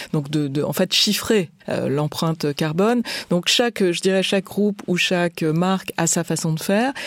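A woman with a normal speaking voice talks at a fairly low pitch with ordinary pitch variation and very even loudness, in a dry, close sound with no echo. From France. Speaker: business executive. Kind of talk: interview.

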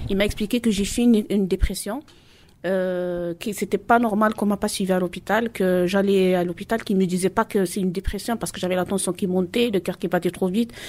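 A woman speaks at a medium pitch for a woman. Her pace is fairly quick and her intonation fairly even. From Marseille, La Castellane. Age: 40s. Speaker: mother giving testimony. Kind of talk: testimony. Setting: public event in Marseille. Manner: halting.

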